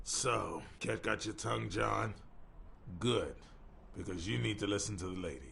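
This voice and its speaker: A man's put-on character voice, raspy and very deep, with very wide pitch swings, a moderate pace, long and frequent pauses, and clear background noise. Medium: video game. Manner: chummy, joking.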